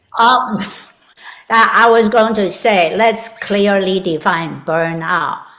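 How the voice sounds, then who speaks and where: The speech goes at a very slow pace with ordinary pitch variation. Room echo is audible. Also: woman, medium pitch for a woman. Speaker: health and vitality expert. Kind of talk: interview.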